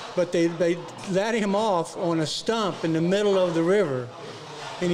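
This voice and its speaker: Against noticeable background noise and audible room echo, a man with a high pitch speaks at a moderate pace with ordinary pitch variation. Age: 70s. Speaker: workshop student. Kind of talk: casual interview. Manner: halting.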